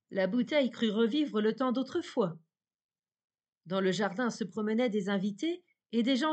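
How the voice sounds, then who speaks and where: Over a quiet background comes a plain, everyday voice with ordinary pitch variation. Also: woman. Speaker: audiobook narrator. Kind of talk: bedtime fairy-tale narration, reading aloud. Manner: calm, soft-spoken, slow and dreamy.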